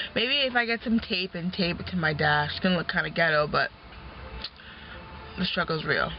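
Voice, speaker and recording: Someone mumbles over noticeable background noise. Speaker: vlogger and taxi driver. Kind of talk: casual vlog while driving. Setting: in a car. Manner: mumbling.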